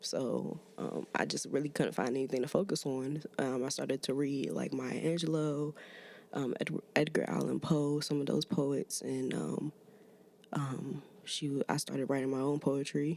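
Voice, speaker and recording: With an American accent, a woman speaks at a moderate pace in a very deep, low voice with a dark, mellow tone. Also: ordinary pitch variation. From Maryland, US (DC area). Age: 20s. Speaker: musician, rapper and poet. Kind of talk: casual podcast interview. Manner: halting, many fillers.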